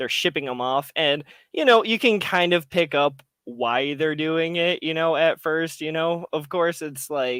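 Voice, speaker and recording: Recorded very cleanly against a silent background, a man with a fairly high pitch speaks at a fairly slow pace in a dry, close sound with no echo. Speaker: podcast co-host. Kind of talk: casual chat. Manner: halting, filler-heavy.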